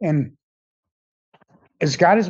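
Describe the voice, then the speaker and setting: Here a man speaks at a moderate pace with a fairly high pitch and ordinary pitch variation. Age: 60s. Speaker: defendant in court. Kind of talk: courtroom statement. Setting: courtroom. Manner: halting.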